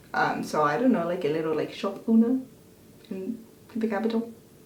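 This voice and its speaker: A woman talks at a moderate pace. Room echo is audible, and there is noticeable background noise. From international schools; half Belgian, half Scottish. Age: 20s. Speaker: YouTuber. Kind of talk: casual Q&A chat.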